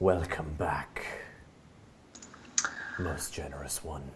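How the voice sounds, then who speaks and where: A man whispering in a put-on character voice at a very slow pace, with clear background noise. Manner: servile, fawning.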